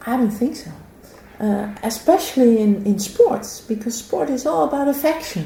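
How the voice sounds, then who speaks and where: A woman with a Dutch accent talks at a moderate pace in a fairly high pitch, with very wide pitch swings and big swings in loudness. Noticeable background noise and audible room echo are present. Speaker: philosophy of sport professor. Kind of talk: interview conversation. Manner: halting.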